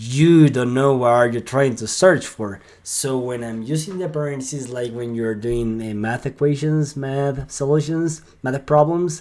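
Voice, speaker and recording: A man speaks with a Spanish accent at a medium pitch. His tone is upbeat, with ordinary pitch variation. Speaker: sales lead generation consultant. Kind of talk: screen-share tutorial. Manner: halting, with filler words and repeats; casual and upbeat.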